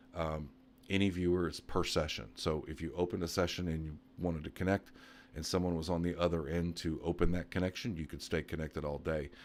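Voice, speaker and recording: Soft-spoken, this voice moves at a very fast pace. Intonation stays fairly even. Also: man, very deep, low pitch for a man. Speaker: computer repair tech YouTuber. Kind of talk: live stream Q&A. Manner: quiet, speaking softly; casual, with many fillers.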